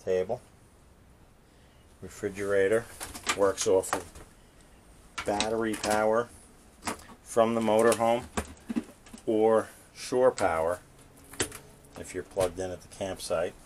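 The speech moves at a fairly slow pace with long, frequent pauses, and noticeable background noise is present. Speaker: vehicle seller or owner. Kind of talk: walkaround tour commentary. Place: car. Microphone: phone near.

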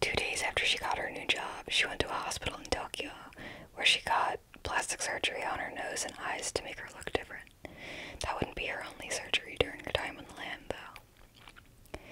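A soft-spoken woman is whispering at a fairly quick pace, with big swings in loudness. Noticeable background noise is present. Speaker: true crime storyteller. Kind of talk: true crime narration. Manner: soft close-mic whisper. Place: home room. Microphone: handheld.

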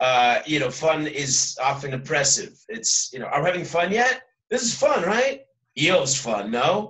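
Ordinary pitch variation against a quiet background. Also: man. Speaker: teacher giving an online class. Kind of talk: lecture. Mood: wry, humorous. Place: home room. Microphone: webcam.

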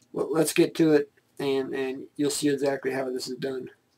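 The man talks at a fairly slow pace. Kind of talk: tutorial intro chat. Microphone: webcam.

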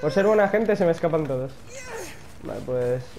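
A man with a high pitch is heard through audible room echo and noticeable background noise. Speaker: gaming youtuber. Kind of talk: gameplay commentary. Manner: animated.

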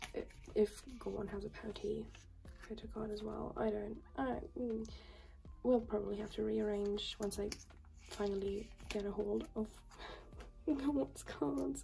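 The pace is fairly slow, with long, frequent pauses. Light background noise is present. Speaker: collector vlogger. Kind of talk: casual vlog chat. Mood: light, amused. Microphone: phone near.

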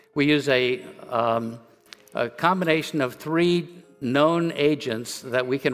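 A man's voice over faint background music. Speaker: conference presenter. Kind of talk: lecture. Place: stage.

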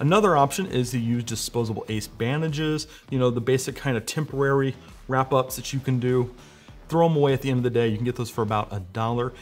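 Over faint music in the background, a man speaks at a very fast pace with ordinary pitch variation. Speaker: presenter. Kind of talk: tutorial. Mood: light, joking. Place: studio.

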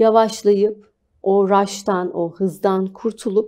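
A woman speaks in a dark, mellow tone with quiet behind her. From Turkey, Antalya; Turkey. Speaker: spa business founder; guest. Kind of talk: TV interview. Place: studio. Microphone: lapel.

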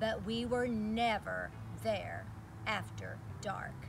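This is a woman speaking. Noticeable background noise runs under her voice. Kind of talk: storytelling read-aloud. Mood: warm, lively storyteller. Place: open country.

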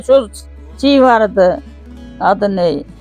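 A woman's voice with music in the background. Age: 80s+. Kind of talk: life story interview.

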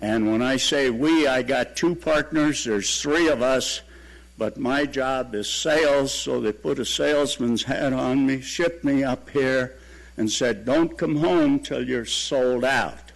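A man speaks at a fairly slow pace with a medium pitch and ordinary pitch variation over noticeable background noise. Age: 80s+. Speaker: real estate developer. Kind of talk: public comment.

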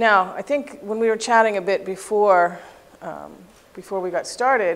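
The woman's pitch varies in an ordinary way. She keeps to a moderate pace. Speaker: presenter, instructor. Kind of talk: lecture. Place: classroom.

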